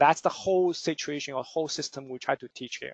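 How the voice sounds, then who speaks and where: A man at a fairly quick pace, with fairly even intonation, in a dry, close sound with no echo against a quiet background. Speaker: forex trading instructor. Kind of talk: webinar lecture. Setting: online webinar. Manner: halting, many fillers.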